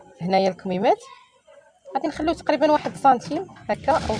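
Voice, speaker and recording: Speaking fairly quickly in a Moroccan accent, the voice makes very wide pitch swings over noticeable background noise. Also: woman. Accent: Moroccan Arabic (Darija). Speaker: sewing tutorial YouTuber. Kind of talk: tutorial.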